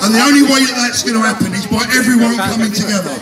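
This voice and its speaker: A man talks at an extremely high pitch and a fairly quick pace, with fairly even intonation. Background noise is noticeable. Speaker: rally speaker. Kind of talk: rally speech. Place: street.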